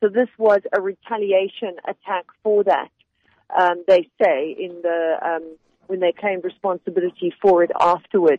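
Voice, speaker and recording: In a normal speaking voice, a woman talks at a moderate pace and medium pitch, her intonation fairly even. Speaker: journalist correspondent. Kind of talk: interview. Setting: phone call from abroad.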